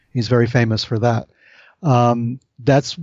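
A man with a plain, everyday voice, medium pitch, and a moderate pace. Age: 60s. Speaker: author, UFO researcher. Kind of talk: interview conversation.

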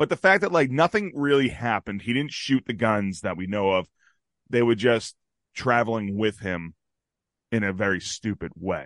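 In a plain, everyday voice, a man talks at medium pitch and a moderate pace with lively intonation, the sound dry and close with no echo against a quiet background. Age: 40s. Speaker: podcast host. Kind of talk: casual banter podcast. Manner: joking, banter.

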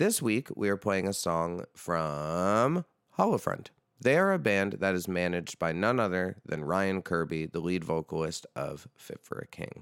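Very deep, low-pitched speech from a man with an American accent at a fairly slow pace, on a very clean recording with a silent background and a dry, close sound with no echo. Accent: general American, slight New York when drunk. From New York. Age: 30s. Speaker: metal vocalist and podcast host. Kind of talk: casual chat. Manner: animated.

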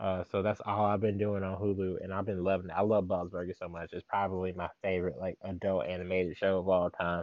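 A man with a very deep, low pitch speaks. His pace is very fast, with hardly any pauses. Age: 20s. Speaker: anime podcast co-host. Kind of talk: casual chat. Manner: animated.

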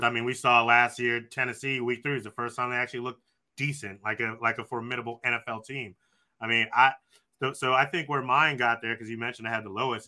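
Very fast, monotone, flat delivery from a man at a medium pitch. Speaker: sports podcast co-host. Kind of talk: casual sports banter. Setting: live video call.

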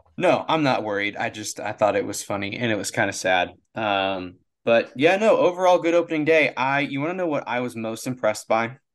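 A man at medium pitch, talking at a fairly quick pace with very wide pitch swings over a quiet background. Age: 30s. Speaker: baseball podcast co-host. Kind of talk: casual chat.

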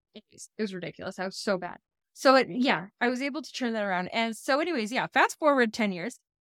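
Her intonation lively and her pitch fairly high, a woman talks at a very fast pace. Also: big swings in loudness, dry, close sound with no echo. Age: 30s. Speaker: podcast guest, mother. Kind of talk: casual chat.

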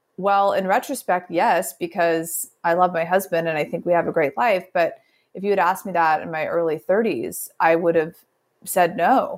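A woman with an American accent and an ordinary speaking voice talks at a moderate pace and a medium pitch. Her pitch varies in an ordinary way, and the recording is very clean with a silent background. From US Midwest. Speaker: writer and entrepreneur. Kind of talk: casual interview.

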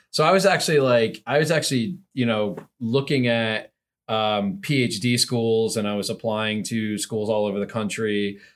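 Very clean and set against a silent background, the recording carries an ordinary speaking voice with an American accent, ordinary pitch variation and a moderate pace. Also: man, medium pitch for a man. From US, Central New Jersey. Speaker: tech startup founder. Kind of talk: casual interview.

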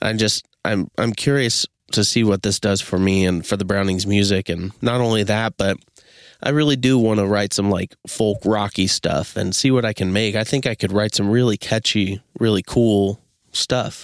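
Moderate pace and very even loudness in a dry, close sound with no echo. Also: man, fairly low pitch for a man. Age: 30s. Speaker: podcast host and metal musician. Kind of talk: casual solo monologue. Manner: animated, frequent laughter.

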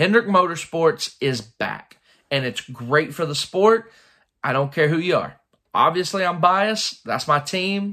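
Speaking at a moderate pace, a man has a high pitch and an animated delivery. His tone is bright and sharp. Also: very clean recording, silent background. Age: 20s. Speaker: motorsport podcast host. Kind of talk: solo commentary recap.

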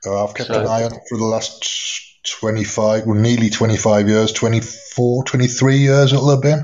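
With an English accent, a man speaks very slowly at a medium pitch, his intonation fairly even and his speech with hardly any pauses. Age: 50s. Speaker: live audio room host. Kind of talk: casual chat. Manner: relaxed.

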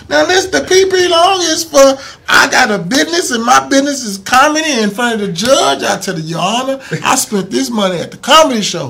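Over noticeable background noise, a man with an American accent projects a raised voice at an extremely high pitch, swinging very widely in pitch at a fairly quick pace with hardly any pauses. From Missouri City, Texas. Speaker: comedian and entrepreneur. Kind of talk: casual interview.

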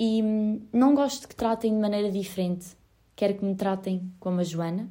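A woman's dark, mellow voice sits at medium pitch and keeps a fairly slow pace. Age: 20s. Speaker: podcaster. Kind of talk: personal monologue.

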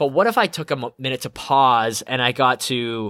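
A man at a medium pitch talks at a fairly quick pace, animated and bright with a sharp tone. The sound is dry and close with no echo, on a very clean recording with a silent background. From Canada, Edmonton. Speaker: podcast host, life coach. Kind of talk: solo monologue, personal story.

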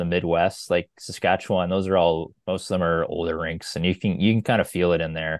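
Monotone, flat intonation in a Maritime Canadian accent. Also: man. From New Brunswick, Canada. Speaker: sports travel writer. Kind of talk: casual chat.

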